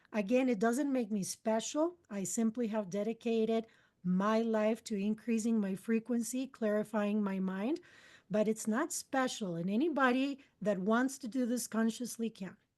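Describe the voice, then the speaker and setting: A woman at a moderate pace, fairly high-pitched, with ordinary pitch variation over a quiet background. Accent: Spanish. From Costa Rica. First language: Spanish. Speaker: spiritual mentor and channeler. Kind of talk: interview. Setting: podcast interview.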